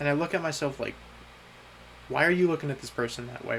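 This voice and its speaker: A man's voice over noticeable background noise. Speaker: vlogger. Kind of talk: personal video diary monologue. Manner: halting, repeating words.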